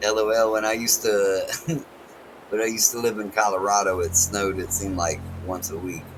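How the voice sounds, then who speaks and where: With an American accent, a man speaks at a fairly quick pace and fairly low pitch, his intonation fairly even. Noticeable background noise and audible room echo fill the recording. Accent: country accent, strong. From North Carolina, US. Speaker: game streamer. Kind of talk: casual live-stream chat. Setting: home, family asleep nearby. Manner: halting, repetitive.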